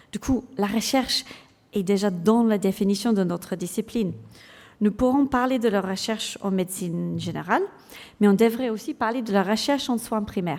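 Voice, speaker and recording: A woman speaks with an English accent at a moderate pace. Her medium-pitched voice shows ordinary pitch variation. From England. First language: English (speaking French). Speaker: general practitioner and clinical lecturer. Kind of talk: conference talk. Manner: halting, many hesitations.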